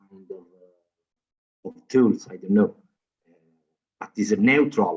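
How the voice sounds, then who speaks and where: With a non-native accent, a man talks in fairly even intonation. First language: not English. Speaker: academic panelist. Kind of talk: panel discussion. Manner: halting, heavy repetition.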